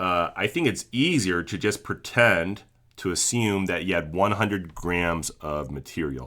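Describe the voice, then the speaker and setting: On a very clean recording with a silent background, a man with a very deep, low voice and a bright, sharp tone speaks with lively intonation. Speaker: chemistry teacher. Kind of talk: tutorial. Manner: slow; casual with filler words.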